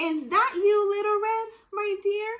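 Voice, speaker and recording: A woman puts on a character voice that is squeaky and extremely high in pitch. She speaks at a fairly slow pace. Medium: read story.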